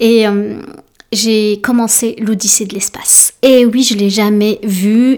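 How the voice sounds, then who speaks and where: A woman with a French accent speaks at a fairly high pitch with fairly even intonation. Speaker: podcast host and life coach. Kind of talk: solo casual monologue. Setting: alone in home office. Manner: halting, many fillers.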